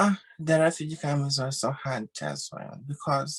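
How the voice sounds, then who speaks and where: A woman with a very deep, low, somewhat breathy voice speaks at a very slow pace. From Uganda. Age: 20s. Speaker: refugee sharing her experience. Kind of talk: interview testimony. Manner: halting, simple phrasing.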